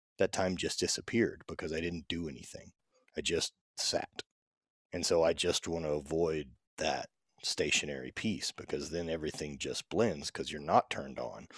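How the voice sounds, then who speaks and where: On a very clean recording with a silent background, a man with an American accent speaks at a moderate pace in a very deep, low voice with vocal fry. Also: fairly even intonation. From US South, Louisiana. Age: 30s. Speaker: strength athlete. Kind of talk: casual chat.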